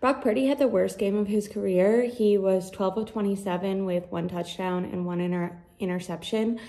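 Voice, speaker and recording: A woman talks at a moderate pace with hardly any pauses and ordinary pitch variation against a quiet background. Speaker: sports commentator. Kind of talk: solo sports reaction monologue. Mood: disappointed, analytical. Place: home room. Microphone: earbuds.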